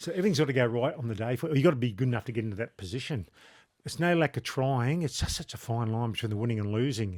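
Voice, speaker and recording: Very fast speech from a man with an Australian accent, at medium pitch with lively intonation, in a very clean recording with a silent background. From New South Wales, Australia. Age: 60s. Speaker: former rugby league player and shop owner. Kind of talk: casual chat.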